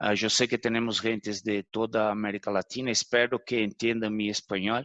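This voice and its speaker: A man with a Brazilian accent speaks at a medium pitch and moderate pace in a flat monotone. The sound is dry and close with no echo, over a quiet background. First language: Portuguese (speaking Spanish). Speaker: consumer goods executive. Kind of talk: webinar panel talk.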